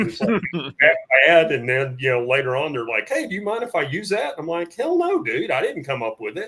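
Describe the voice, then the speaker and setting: A high-pitched man at a fairly quick pace, his pitch swinging very widely. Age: 60s. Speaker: firearms trainer. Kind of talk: casual chat. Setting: studio.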